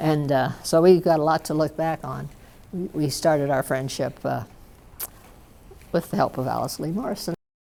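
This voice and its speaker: A woman talks at a moderate pace with a very deep, low pitch, ordinary pitch variation, and vocal fry. Her tone is dark and mellow, broken by long, frequent pauses. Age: 80s. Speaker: retired professor. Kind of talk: reminiscing interview.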